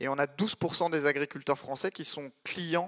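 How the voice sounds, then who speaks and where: A man with a fairly high pitch talks at a moderate pace in a dry, close sound with no echo, on a very clean recording with a silent background. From France, Paris region. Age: 30s. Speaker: startup founder. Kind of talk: conference talk.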